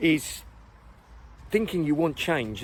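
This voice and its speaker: Someone speaks at a fairly slow pace with an English accent. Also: man. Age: 60s. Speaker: running coach. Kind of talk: casual talk to camera.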